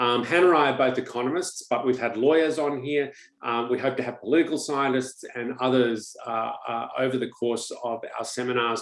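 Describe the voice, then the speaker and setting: A man speaks with an Australian accent at a moderate pace. His intonation stays fairly even. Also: medium pitch for a man. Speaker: economist, webinar host. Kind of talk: webinar introduction. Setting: online webinar.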